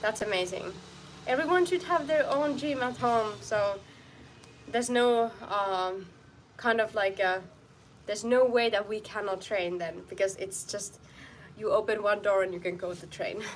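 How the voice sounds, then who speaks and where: At a moderate pace, a woman with a strong non-native accent speaks in a fairly high pitch with lively intonation and long, frequent pauses. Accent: foreign accent, strong. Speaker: martial arts fighter and streamer. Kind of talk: live stream training chat. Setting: outdoor home studio. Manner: halting.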